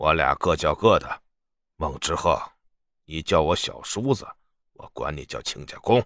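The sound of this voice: In a put-on character voice, a man speaks at a fairly slow pace with an extremely low pitch, a fairly bright tone and lively intonation, on a very clean recording with a silent background.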